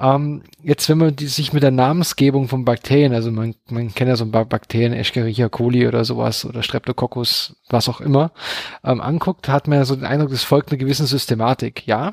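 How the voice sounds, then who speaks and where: A plain, everyday voice from a man at medium pitch, with fairly even intonation and a fairly quick pace, in a dry, close sound with no echo. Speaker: science podcast co-host. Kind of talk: casual science chat.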